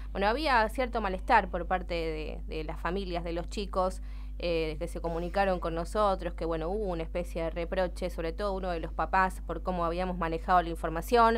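Hardly any pauses break up this woman's speech. She talks at a fairly quick pace. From Argentina (Santa Fe province). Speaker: local radio news host. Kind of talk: morning radio news show. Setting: radio studio. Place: studio. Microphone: studio mic.

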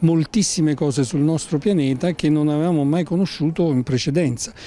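Dark and mellow in tone, a man's voice sits at a fairly high pitch and a moderate pace. The sound is dry, with no echo. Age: 60s. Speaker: environmental organization spokesperson. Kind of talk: interview. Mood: calm, explanatory. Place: street. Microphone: handheld.

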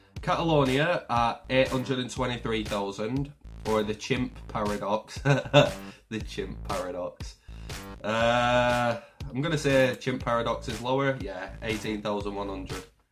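Clear music plays in the background. A man speaks at a fairly slow pace with ordinary pitch variation. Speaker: gaming streamer. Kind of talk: casual gameplay commentary. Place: home room.

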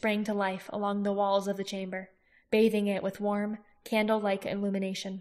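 A natural voice reads the words aloud.

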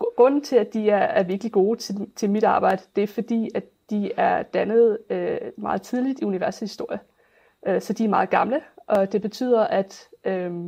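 Woman's fairly high voice in a dark, mellow tone, with ordinary pitch variation. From Denmark, Funen (near Nyborg). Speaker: astrophysics researcher. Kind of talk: interview. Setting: video call. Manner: halting.

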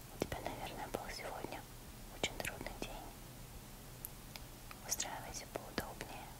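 A woman keeps a moderate pace but pauses often and at length. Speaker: ASMR creator. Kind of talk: ASMR intro talking directly to the listener. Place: home room. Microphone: lapel.

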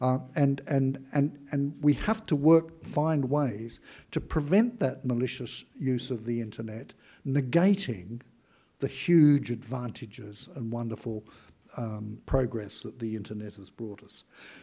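Using a fairly slow pace, a man with an Australian accent speaks at medium pitch in a dark, mellow tone, with ordinary pitch variation and big swings in loudness. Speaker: former intelligence chief; conference speaker. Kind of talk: speech. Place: hall. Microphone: podium.

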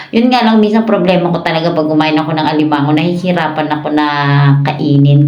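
A fairly quick talker with ordinary pitch variation, heard with audible room echo and noticeable background noise. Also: woman. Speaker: mukbang vlogger. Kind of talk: casual chat. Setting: eating on camera.

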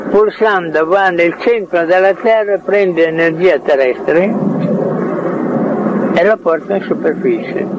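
A man's very slow speech with long, frequent pauses, dry and echo-free, over loud background noise. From Italy. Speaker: inventor, researcher. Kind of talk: interview answer. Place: garden. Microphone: handheld.

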